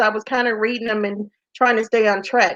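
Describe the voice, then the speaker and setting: This woman talks with an American accent. She keeps a moderate pace. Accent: country twang. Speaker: entrepreneur and golf business founder. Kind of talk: interview. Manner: casual.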